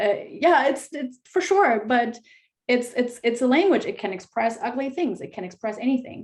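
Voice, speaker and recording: A woman's high voice carries lively intonation as she speaks at a moderate pace. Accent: German. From Germany. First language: German. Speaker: fantasy author. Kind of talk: panel discussion.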